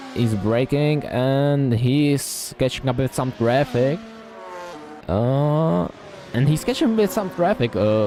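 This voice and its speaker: Against background music, a man with a non-native accent and medium pitch talks at a very slow pace with lively intonation and very even loudness. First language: not English. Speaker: sim racing commentator. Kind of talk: live commentary. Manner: halting, many fillers and restarts.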